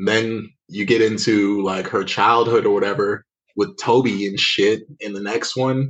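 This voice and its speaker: A man speaks in a plain, everyday voice at a fairly slow pace. His pitch variation is ordinary. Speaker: podcast co-host. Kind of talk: casual chat.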